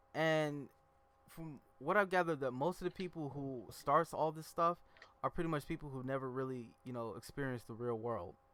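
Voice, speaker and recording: With an American accent, a man talks at a moderate pace in a fairly high pitch, showing ordinary pitch variation and big swings in loudness. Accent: slight country. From US Midwest. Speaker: podcast host. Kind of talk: casual chat.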